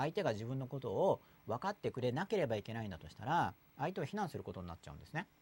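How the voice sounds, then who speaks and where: Recorded dry and close with no echo, a man speaks very fast at medium pitch, with very wide pitch swings, big swings in loudness and vocal fry. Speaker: podcast host. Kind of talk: casual chat. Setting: studio. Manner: noisy, lively.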